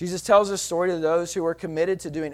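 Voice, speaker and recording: A high-pitched man with a Texan accent in a very clean recording against a silent background. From Texas. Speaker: pastor. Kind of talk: sermon. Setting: church.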